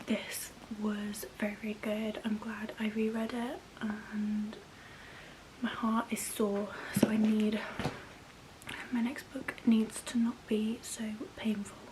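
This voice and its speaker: A soft-spoken woman with an English accent and a fairly high pitch talks very slowly in a monotone, flat intonation. She leaves long, frequent pauses, and there is noticeable background noise. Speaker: book vlogger. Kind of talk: casual vlog.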